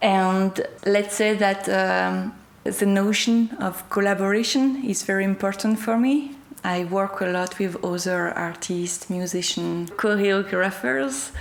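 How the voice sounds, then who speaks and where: With a French accent, a woman speaks at a fairly slow pace. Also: medium pitch for a woman, ordinary pitch variation. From France. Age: 30s. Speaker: performance artist. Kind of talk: interview. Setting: art gallery. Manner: halting.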